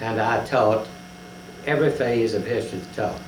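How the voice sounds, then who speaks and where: A man with a Southern US accent speaks at a moderate pace and medium pitch. Audible room echo and noticeable background noise surround his voice. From Tennessee. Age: 70s. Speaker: retired history professor. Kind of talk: oral history interview. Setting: at his home.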